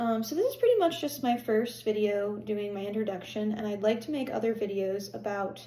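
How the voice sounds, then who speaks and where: Speaking at a moderate pace with an American accent, a woman uses a fairly high pitch and a dark, mellow, somewhat breathy tone, with audible room echo around her. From Pennsylvania. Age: 20s. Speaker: health vlogger. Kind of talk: personal vlog monologue. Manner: hesitant, many fillers.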